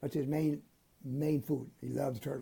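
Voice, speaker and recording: A man talks at a fairly slow pace with vocal fry and a dark, mellow tone. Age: 80s+. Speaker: shark expert and underwater photographer. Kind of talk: interview answer.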